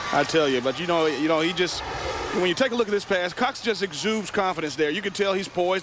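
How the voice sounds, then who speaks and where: Over noticeable background noise, a high-pitched man talks at a very fast pace with ordinary pitch variation and very even loudness. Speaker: color commentator. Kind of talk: live sports commentary.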